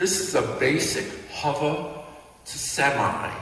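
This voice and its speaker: Over noticeable background noise and audible room echo, a man talks in a fairly high pitch with ordinary pitch variation. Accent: Brooklyn. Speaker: dance instructor. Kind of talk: tutorial.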